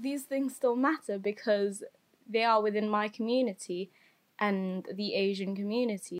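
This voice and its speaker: A woman with a fairly high voice speaks at a moderate pace, her pitch varying in an ordinary way. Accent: English. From England, Filipino family. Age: young. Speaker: podcast co-host. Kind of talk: casual chat.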